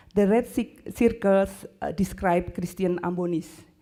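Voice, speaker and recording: A woman with an Indonesian accent, medium pitch, a dark, mellow tone and a very slow pace. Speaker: university lecturer. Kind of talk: conference presentation. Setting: conference stage with audience. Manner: halting, many hesitations.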